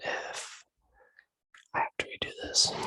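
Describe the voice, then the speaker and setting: A man whispering, the sound dry and close with no echo. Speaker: ASMR creator. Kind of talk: casual talk to camera. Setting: recorded through video call, poor audio.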